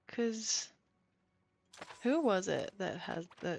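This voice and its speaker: The speech moves at a very slow pace with vocal fry. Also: woman. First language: non-English home language. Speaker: livestreamer. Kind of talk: casual gaming stream chat. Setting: livestream. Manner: chatty, many fillers.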